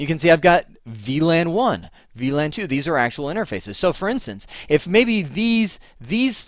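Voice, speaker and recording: A man's animated voice with very wide pitch swings, on a very clean recording against a silent background. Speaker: networking instructor. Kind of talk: lecture. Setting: home office. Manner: fast.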